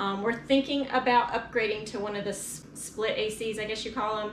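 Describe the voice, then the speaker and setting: Fairly quick, fairly even speech with audible room echo and light background noise. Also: woman. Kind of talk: casual vlog tour. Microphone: phone near.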